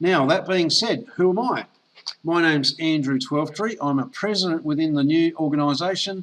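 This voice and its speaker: A man with an Australian accent talks at a moderate pace in a high pitch, using ordinary pitch variation. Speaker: network marketer. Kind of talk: sales pitch. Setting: online call.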